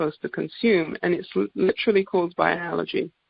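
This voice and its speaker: Speaking at a fairly quick pace, a woman uses a medium pitch. She talks with an English accent. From England. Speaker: naturopathic doctor. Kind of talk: sales presentation on a group call. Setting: conference call.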